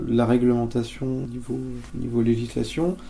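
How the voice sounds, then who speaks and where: A man of medium pitch is heard with noticeable background noise and audible room echo. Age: 30s. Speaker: transport geographer. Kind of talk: interview. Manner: hesitant, many fillers.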